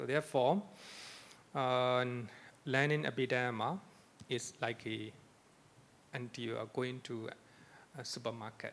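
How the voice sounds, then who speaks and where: A man's medium-pitched voice with a non-native accent, ordinary pitch variation, a fairly slow pace, and long, frequent pauses. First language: not English. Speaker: Buddhist monk lecturer. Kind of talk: lecture. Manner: repetitive.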